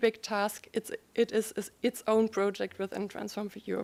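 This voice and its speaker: Her intonation flat and monotone, a woman speaks at a moderate pace. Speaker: university alliance representative. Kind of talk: conference presentation. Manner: hesitant with fillers.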